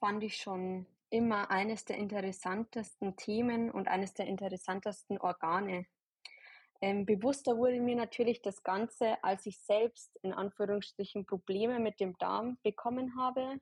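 A woman with a fairly high, somewhat breathy voice talks at a fairly slow pace with fairly even intonation. The sound is dry and close with no echo, over a quiet background. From Bavaria, near Ingolstadt. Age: 20s. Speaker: holistic health practitioner and nurse. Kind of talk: podcast interview. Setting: online recording.

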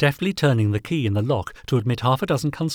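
Reading voice, natural and unaffected

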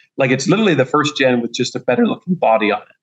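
An enthusiastic man at medium pitch, with ordinary pitch variation. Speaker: EV race car company founder. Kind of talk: interview.

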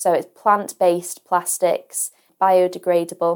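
A woman speaks with a Lancashire accent. Her pitch sits in the medium range. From northwest England, Ormskirk in Lancashire. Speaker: online school science teacher. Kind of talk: casual interview. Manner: hesitant, many fillers.

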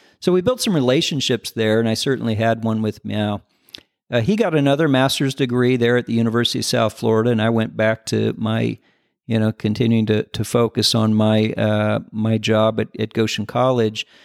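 With a Midwestern American accent, a man talks at a fairly quick pace with fairly even intonation and very even loudness. The sound is dry and close with no echo, on a very clean recording with a silent background. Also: medium pitch for a man. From US Midwest, southern Michigan and northern Indiana. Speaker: business founder and CEO. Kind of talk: interview. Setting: on site at company headquarters. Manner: halting, many fillers and repeated words.

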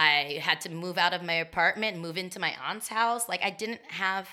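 A woman's medium-pitched voice, animated in tone, with lively intonation. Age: 30s. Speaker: roller skater. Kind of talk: casual chat.

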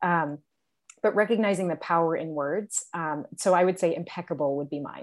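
A woman speaks in an ordinary speaking voice at a moderate pace on a very clean recording with a silent background. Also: fairly low pitch for a woman, ordinary pitch variation. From upstate New York. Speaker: school leader and educator. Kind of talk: casual chat.

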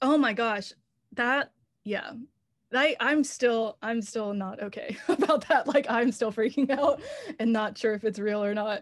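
A woman with an American accent speaks in an unremarkable speaking voice at a fairly high pitch. Her pace is fairly slow, with ordinary pitch variation. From North Carolina, Raleigh. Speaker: songwriter. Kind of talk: casual interview.

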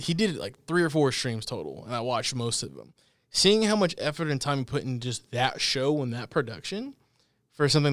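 This man speaks in an unremarkable speaking voice, fairly quick in pace and lively in intonation. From Texas, Dallas area. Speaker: podcast host. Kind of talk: casual chat. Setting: studio.

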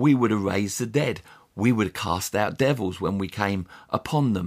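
On a very clean recording with a silent background, a man with an English accent speaks at a moderate pace, his fairly low pitch showing ordinary pitch variation. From England. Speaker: pastor. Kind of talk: solo podcast teaching.

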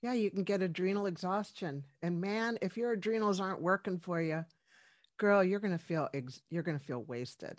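In a very clean recording with a silent background, a woman with an American accent uses an unremarkable speaking voice at a medium pitch, a moderate pace and ordinary pitch variation. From US, Washington D.C. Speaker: medical doctor. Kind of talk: interview.

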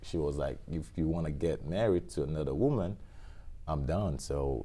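In a West African accent, a man speaks at a moderate pace, his very deep, low voice dark and mellow in tone. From Guinea (born in Liberia). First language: Fula. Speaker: used car dealer. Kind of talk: casual interview chat.

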